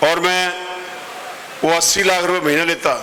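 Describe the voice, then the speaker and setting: Noticeable background noise and audible room echo around a man talking. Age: 70s. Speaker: politician. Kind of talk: campaign speech. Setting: stage at a traders' meeting. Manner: forceful.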